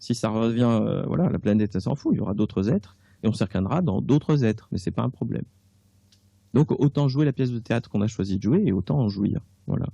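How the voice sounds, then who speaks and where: A man talks very fast at a medium pitch, with lively intonation and vocal fry. His tone is dark and mellow, and the background is quiet. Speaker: author and clairvoyant. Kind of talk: radio interview. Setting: radio studio. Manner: casual, hesitant with fillers.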